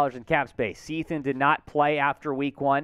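Over a quiet background, a man talks at a fairly slow pace, the sound dry with no echo. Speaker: sports show host. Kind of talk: news commentary. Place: studio. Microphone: headset.

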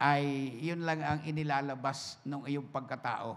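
Delivered very slowly, the voice holds a fairly even intonation. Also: man. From Philippines, Bicol region (Sorsogon); Bicol, Philippines. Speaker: pastor. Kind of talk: sermon. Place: church. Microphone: handheld.

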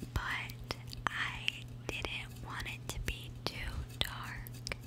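A woman at a very slow pace, with loud background noise behind her. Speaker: gaming YouTuber trying ASMR. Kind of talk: ASMR whisper and tapping video, casual talk to camera. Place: home room. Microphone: studio mic.

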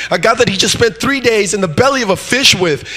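Amid noticeable background noise, a man with a high pitch uses a raised, projected voice and an animated tone at a moderate pace. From Mexico, moved to US in fifth grade. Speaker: guest preacher. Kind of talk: sermon. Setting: church.

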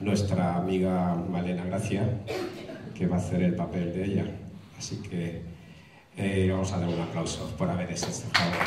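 Loud background noise and audible room echo fill the recording. The speaker keeps a moderate pace but leaves long, frequent pauses. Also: man. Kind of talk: stage announcement to audience. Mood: friendly, joking. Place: stage.

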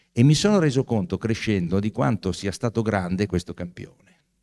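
A man talks in a dark, mellow tone at a fairly low pitch, with lively intonation. His pace is moderate and the background quiet. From Italy. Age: 60s. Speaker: author and professor; professor. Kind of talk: book talk. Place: hall. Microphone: handheld.

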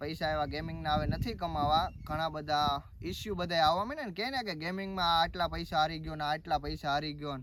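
With noticeable background noise, a man speaks at a fairly high pitch with ordinary pitch variation. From Gujarat, Gir Somnath district, India. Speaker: vlogger. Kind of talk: casual Q&A vlog.

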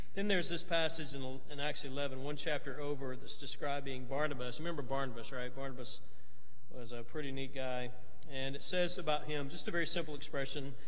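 The man's voice is fairly high for a man. He talks at a fairly quick pace with fairly even intonation. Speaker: preacher. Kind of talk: church announcements and devotional. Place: church. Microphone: podium.

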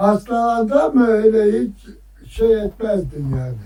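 A man's dark, mellow tone at a very slow pace. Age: 80s+. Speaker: beekeeper and villager. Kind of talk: interview answer.

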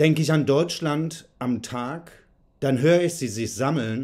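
A man speaks at a very slow pace. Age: 40s. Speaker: curator and writer. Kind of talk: reading aloud a poetic text. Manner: rhythmic, declamatory. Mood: serious, reflective. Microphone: phone near.

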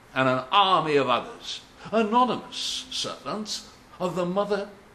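A man speaks in a raised, projected voice with very wide pitch swings. Light background noise sits behind him. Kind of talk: dramatic monologue in character. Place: home room. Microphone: webcam.

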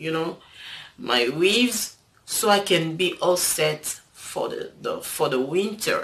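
Her pitch swinging very widely, a woman with a non-native accent speaks at a very slow pace. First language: not English. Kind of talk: casual talk to camera. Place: home room. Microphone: phone near.

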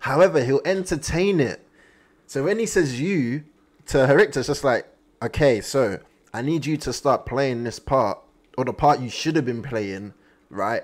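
Lively intonation marks a man's moderately paced speech. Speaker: anime reaction streamer. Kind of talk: casual reaction commentary. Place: home room. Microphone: studio mic.

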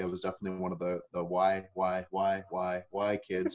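In a Maritime Canadian accent, a man speaks at a fairly quick pace with a very deep, low pitch against a quiet background. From Nova Scotia, Canada (Annapolis Valley). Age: 30s. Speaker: transformation speaker. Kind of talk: interview. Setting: video call. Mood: calm, reflective. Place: home room. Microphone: webcam.

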